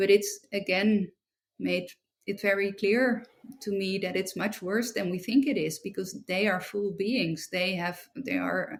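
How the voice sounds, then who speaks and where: In a Dutch accent, a woman talks at a fairly slow pace and medium pitch. Her pitch variation is ordinary. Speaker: philosopher and writer. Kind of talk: interview conversation. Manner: halting.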